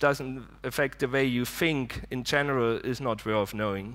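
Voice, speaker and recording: In a German accent, a man talks at medium pitch with fairly even intonation, on a very clean recording with a silent background. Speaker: conference speaker. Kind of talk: conference talk. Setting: stage with audience.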